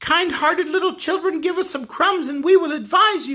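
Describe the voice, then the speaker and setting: In a put-on character voice, someone squeaks at an extremely high pitch and a moderate pace. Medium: read story.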